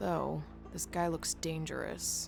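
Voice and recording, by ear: A woman does a put-on character voice at a low pitch, with vocal fry and ordinary pitch variation. She speaks at a slow pace over clear music in the background.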